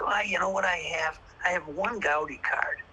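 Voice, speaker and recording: A man at a moderate pace, noticeable background noise behind him. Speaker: retired baseball card dealer. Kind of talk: interview conversation. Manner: halting, repetitive stammering.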